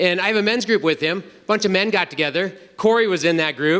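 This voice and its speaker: An energetic, raised and projected man's voice with a high pitch, an American accent and a fairly quick pace. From North Dakota, US. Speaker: retreat speaker, engineer. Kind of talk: testimony talk. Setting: stage with audience at men's retreat.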